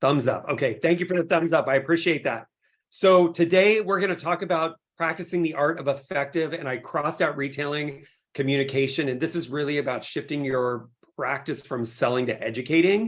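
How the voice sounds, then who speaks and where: A man speaks in an animated tone at a fairly quick pace. His pitch is fairly high, with ordinary variation. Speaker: skincare company CEO. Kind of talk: webinar presentation. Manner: fast.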